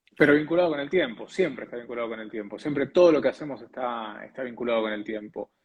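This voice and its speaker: A man speaks at a very fast pace with an Argentine accent. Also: medium pitch for a man, ordinary pitch variation, hardly any pauses, big swings in loudness. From Argentina. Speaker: TV weather presenter and announcer. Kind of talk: interview answer.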